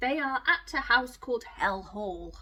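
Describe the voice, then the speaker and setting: A woman uses a gruff, put-on character voice at a high pitch. She talks at a moderate pace over light background noise. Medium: read story.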